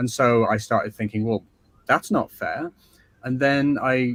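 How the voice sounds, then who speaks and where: A man speaks with an English accent at a moderate pace. The sound is dry and close, with no echo. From northern England, Skelmersdale near Liverpool. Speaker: author. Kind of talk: interview.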